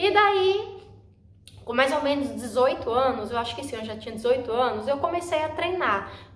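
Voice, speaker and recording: A woman with a high pitch talks at a moderate pace, with very wide pitch swings and big swings in loudness. Audible room echo surrounds her voice. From Brazil, Northeast. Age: 20s. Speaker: vlogger. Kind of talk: personal vlog talk.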